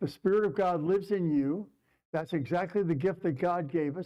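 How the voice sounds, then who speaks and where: This man speaks loudly at a moderate pace. His pitch varies in an ordinary way. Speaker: rabbi. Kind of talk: sermon. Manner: halting.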